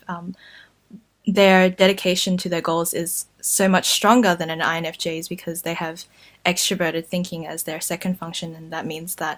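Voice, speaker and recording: With an Australian accent, a woman speaks in a monotone, flat intonation at a fairly low pitch. Her loudness swings a lot. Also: moderate pace, very clean recording, silent background. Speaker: YouTuber. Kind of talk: casual talk to camera.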